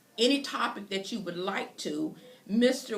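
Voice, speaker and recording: A woman speaks with a North Carolina accent and ordinary pitch variation. Audible room echo and noticeable background noise fill the recording. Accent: North Carolina Southern US. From US South. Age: 60s. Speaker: podcast host. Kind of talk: interview introduction.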